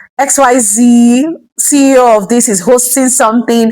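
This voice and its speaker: A woman with a Nigerian accent, a fairly high pitch and ordinary pitch variation. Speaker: vlogger and entrepreneur. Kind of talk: personal vlog talk to camera. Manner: casual, chatty with filler words.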